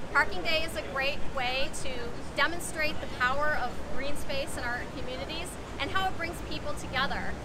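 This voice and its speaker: The speech moves at a moderate pace while heavy background noise plays underneath. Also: woman, ordinary pitch variation. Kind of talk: interview answer. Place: street. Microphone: camera far.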